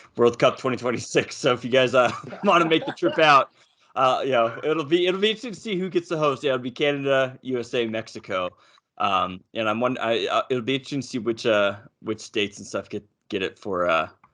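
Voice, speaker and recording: Over a quiet background, a man with an American accent talks at a very fast pace in a bright, sharp tone, medium in pitch with lively intonation. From North America. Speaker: podcast host. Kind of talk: casual chat. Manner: animated.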